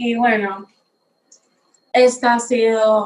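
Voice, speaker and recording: Her fairly high voice stays in a flat monotone as the woman speaks. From Dominican Republic. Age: young. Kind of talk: personal testimony.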